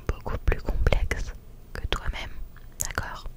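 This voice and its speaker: A woman is whispering at a fairly slow pace. Noticeable background noise is present. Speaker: ASMR creator. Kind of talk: ASMR positive affirmations. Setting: home studio. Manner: whispered.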